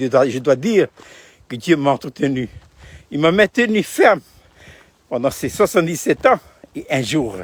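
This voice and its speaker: Very wide pitch swings at a fairly slow pace, in a dry, close sound with no echo. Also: man. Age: 70s. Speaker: pastor. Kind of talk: video devotional talk. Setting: outdoors. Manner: halting.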